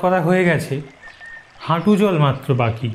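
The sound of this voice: A man's fairly high pitch with a slightly mellow tone and lively intonation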